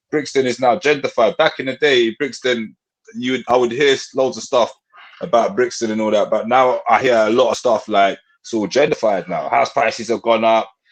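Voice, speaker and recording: Fairly quick talk comes from a man in a London accent. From north London (Tottenham). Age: 30s. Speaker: rapper. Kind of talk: casual chat.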